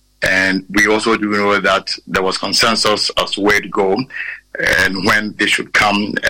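A man with a Ghanaian accent, fairly low in pitch, at a fairly slow pace, in a monotone, flat delivery with very even loudness. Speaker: political correspondent. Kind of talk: live news report. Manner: halting, repetitive.

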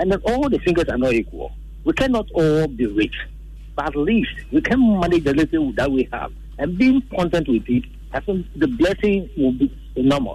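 A man keeps to a moderate speed, and noticeable noise can be heard in the background. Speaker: radio call-in caller. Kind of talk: phone-in comment.

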